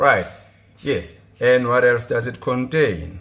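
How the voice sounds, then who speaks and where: A man's voice of medium pitch. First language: not English. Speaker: gardening vlogger. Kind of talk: tutorial. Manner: casual; halting.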